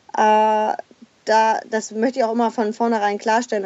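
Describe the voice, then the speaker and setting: Her pitch fairly high, the woman delivers her words at an even, moderate tempo in an unremarkable speaking voice. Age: 30s. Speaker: former cruise industry manager, mother living in a van. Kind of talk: interview.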